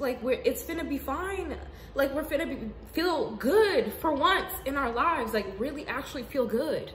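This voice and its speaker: A woman with an American accent speaks at a high pitch with lively intonation and a moderate pace. Room echo and noticeable background noise can be heard. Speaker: spiritual video blogger. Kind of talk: casual monologue. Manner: animated.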